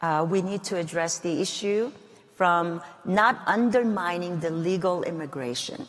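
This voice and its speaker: A woman with a Korean accent speaks at a fairly slow pace. Noticeable background noise is present. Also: fairly low pitch for a woman, ordinary pitch variation. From South Korea, then Guam. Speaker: congresswoman. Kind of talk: interview.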